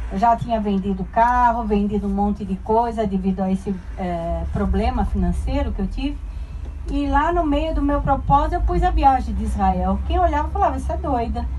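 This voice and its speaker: Light background noise accompanies a woman speaking with a Brazilian accent. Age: 60s. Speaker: tour group traveler giving testimony. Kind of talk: heartfelt personal testimony, faith-filled life story told to a group. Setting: group of travelers, addressing a crowd. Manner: warm, earnest and sincere, conversational and unhurried, with emotional emphasis; humble and devout, pleading and grateful in tone. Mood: earnest, faith-filled. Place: bus.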